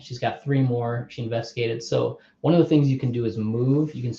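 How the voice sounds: This is a natural reading voice. That is how it sounds throughout.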